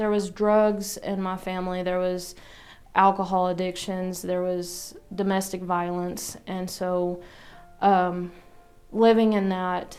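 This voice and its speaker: A woman's medium-pitched voice at a very slow pace, monotone and flat, with audible room echo and music in the background. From Arkansas. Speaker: church member giving testimony. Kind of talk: testimony. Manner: hesitant, many fillers.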